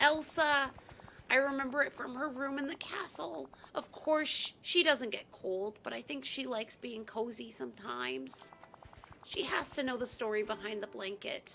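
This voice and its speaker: A woman puts on a character voice, pitched high and delivered at a moderate pace. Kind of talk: amateur character voice. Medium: game stream. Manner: upbeat, naive.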